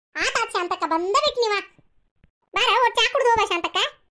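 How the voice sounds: A woman's squeaky, cartoonish character voice at an extremely high pitch and a fairly quick pace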